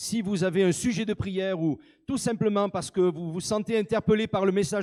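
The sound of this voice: Speaking at a fairly quick pace, a man has a high pitch and a slightly mellow tone. His pitch variation is ordinary.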